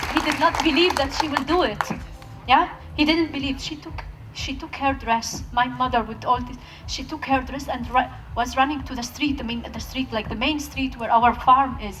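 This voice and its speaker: Over background music and audible room echo, a woman speaks at a high pitch with fairly even intonation and big swings in loudness. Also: moderate pace. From Palestinian Bedouin village in Israel. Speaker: peace activist speaker. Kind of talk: talk at a festival, with audience Q&A. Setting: stage with audience.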